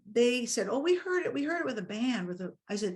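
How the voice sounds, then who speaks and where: A woman's somewhat breathy voice at a very fast pace over a quiet background. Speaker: violinist. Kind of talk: casual chat.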